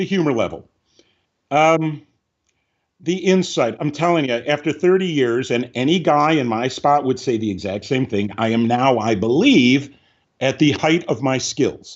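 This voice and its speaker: Here a man uses a normal speaking voice at a fairly high pitch. He talks at a moderate pace with lively intonation. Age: 60s. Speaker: film script supervisor and director. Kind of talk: interview.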